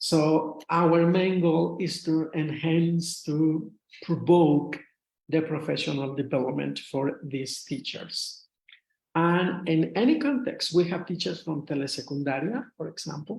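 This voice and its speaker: The speaker talks at a fairly slow pace in a strong Mexican accent. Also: man, fairly high pitch for a man, ordinary pitch variation. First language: Spanish. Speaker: retired English teacher, association officer. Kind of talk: lecture. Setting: video call. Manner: halting.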